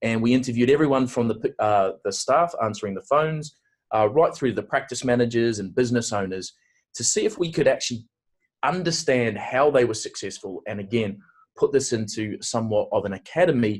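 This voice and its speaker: A man with a New Zealand accent talks at a fairly quick pace in a medium pitch, with ordinary pitch variation over a quiet background. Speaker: aesthetic industry consultant and awards host. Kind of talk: webinar presentation. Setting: online webinar.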